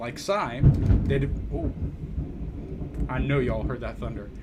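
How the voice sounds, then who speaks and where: A man with a fairly high pitch over noticeable background noise. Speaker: music reviewer on a live stream. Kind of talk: album review monologue on live stream. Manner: stumbling over names.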